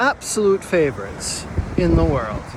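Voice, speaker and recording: There is noticeable background noise behind a man whose voice is high-pitched. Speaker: therapist. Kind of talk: casual talk to camera. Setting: outdoors.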